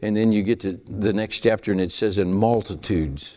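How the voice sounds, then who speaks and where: This man speaks in a Southern US accent. His voice sits fairly low and moves at a moderate pace. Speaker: preacher. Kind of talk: sermon. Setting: church.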